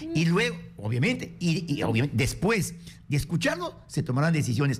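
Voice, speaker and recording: A man's fairly high-pitched voice with vocal fry and lively intonation. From Peru, Amazonas; Peru. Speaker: congressman; interviewed guest or host. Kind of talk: political radio interview. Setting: radio studio. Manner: forceful. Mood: argumentative, explaining. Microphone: studio mic.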